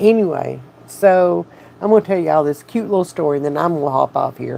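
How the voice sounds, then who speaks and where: Speaking at a fairly quick pace, a woman with a Southern US accent has a very deep, low pitch. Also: ordinary pitch variation. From US South. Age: 50s. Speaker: addiction support channel host. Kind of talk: livestream chat with viewers. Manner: animated.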